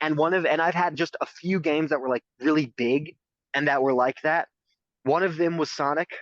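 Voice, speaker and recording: An unremarkable speaking voice from a man, fairly high in pitch and fairly quick, with fairly even intonation, very even loudness, and a dry, close sound with no echo. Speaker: LEGO hobbyist podcaster. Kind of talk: casual chat.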